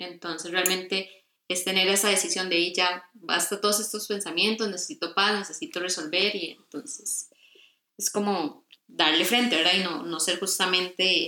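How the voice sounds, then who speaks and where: Her intonation stays fairly even at a medium pitch. The woman has a plain, everyday voice and keeps a moderate pace. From Costa Rica. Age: 20s. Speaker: graphic design student. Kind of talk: casual interview.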